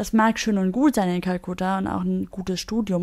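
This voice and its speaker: Her pitch is medium for a woman, and her intonation stays fairly even. The recording is very clean, with a silent background. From Germany. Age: 20s. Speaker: buddhist nun. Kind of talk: interview.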